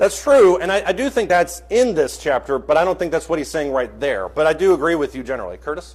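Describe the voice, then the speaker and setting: The delivery is very fast, with hardly any pauses. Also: man. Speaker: Bible class teacher. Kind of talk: interactive Bible class.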